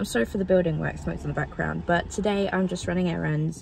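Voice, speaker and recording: Talking at a very fast pace, a woman sounds dry with no echo, with light background noise present. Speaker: vlogger. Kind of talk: casual vlog chat. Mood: cheerful, chatty. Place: car. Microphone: phone near.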